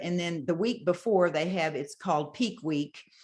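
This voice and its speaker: Moderate pace and lively intonation in a normal speaking voice. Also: woman. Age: 60s. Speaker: bodybuilder. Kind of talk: interview answer.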